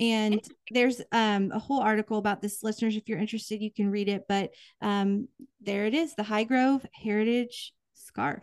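Recorded with a dry, close sound, no echo and a quiet background, a woman with an American accent uses an unremarkable speaking voice, fairly high in pitch, at a moderate pace with fairly even intonation. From Kansas, US Midwest. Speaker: podcast co-host. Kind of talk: casual chat.

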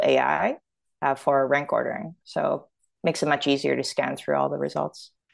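A woman speaks at a moderate pace with a Canadian accent. The background is quiet. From Toronto, Canada. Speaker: startup founder and product executive. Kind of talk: casual interview chat.

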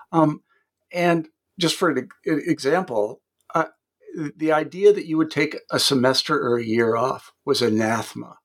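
The man's fairly high voice moves at a moderate pace with ordinary pitch variation. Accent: American. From Kansas, US Midwest. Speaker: podcast host, editor. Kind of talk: interview.

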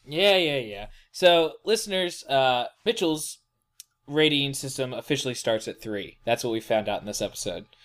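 The recording is very clean, with a silent background. The delivery is playful and moderately paced, with very wide pitch swings. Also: man, fairly high pitch for a man. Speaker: podcast host. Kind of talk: casual chat about a book series. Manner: joking, playful banter.

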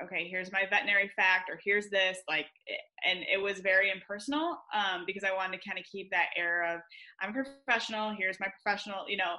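The speaker is a woman with a US Midwestern accent. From Michigan, US. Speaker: veterinarian. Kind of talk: interview. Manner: halting with many fillers.

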